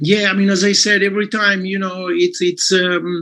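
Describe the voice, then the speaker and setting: A man with an Italian accent uses a raised, projected voice and a bright, sharp tone. His intonation is flat and monotone. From Italy. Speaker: clinic owner and network marketer. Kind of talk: business testimony on a live call. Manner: halting, many fillers.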